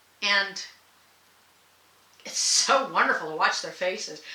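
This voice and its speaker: Against noticeable background noise and audible room echo, a woman with an American accent speaks in an animated tone. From not the US South. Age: 60s. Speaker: sewing and comedy vlogger. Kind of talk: casual vlog monologue.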